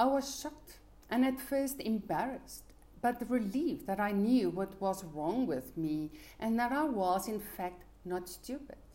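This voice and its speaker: A woman's fairly high, somewhat breathy voice with a dark, mellow tone, very wide pitch swings and a fairly slow pace. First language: Afrikaans. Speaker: life coach. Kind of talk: motivational talk.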